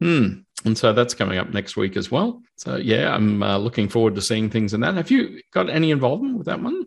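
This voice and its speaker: A man talks fairly quickly in an Australian accent. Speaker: podcast host, database consultant. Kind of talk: casual technical interview.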